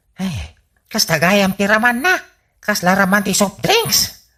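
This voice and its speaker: Putting on a character voice, a man speaks at a high pitch in a raised, projected voice, at a fairly slow pace with ordinary pitch variation. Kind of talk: broad comic radio acting. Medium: audio drama. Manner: wheedling, excuse-making.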